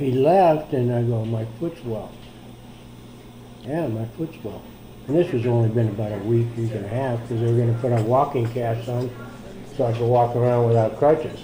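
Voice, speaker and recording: The speaker is a man with an American accent who leaves long, frequent pauses. Audible room echo surrounds his voice. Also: medium pitch for a man, ordinary pitch variation, moderate pace. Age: 70s. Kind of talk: personal testimony. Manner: casual, hesitant with fillers.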